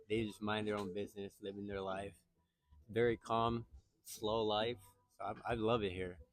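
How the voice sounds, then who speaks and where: Over music in the background, a man with a fairly low pitch speaks at a moderate pace. His intonation is flat and monotone, with long, frequent pauses. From Okinawa, Japan. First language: Japanese. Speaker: local interviewee. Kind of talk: casual interview. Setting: outdoors at a beach. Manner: halting.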